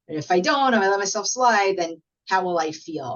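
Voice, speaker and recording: With an American accent, a woman uses an ordinary speaking voice at a moderate pace. Her intonation is lively. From upstate New York. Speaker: running coach. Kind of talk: presentation at online networking event.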